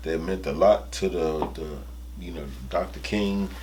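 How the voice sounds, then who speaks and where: With an American accent, a man talks in lively intonation while audible room echo fills the recording. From Washington D.C. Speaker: actor and comedian. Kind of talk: interview. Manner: halting, many fillers.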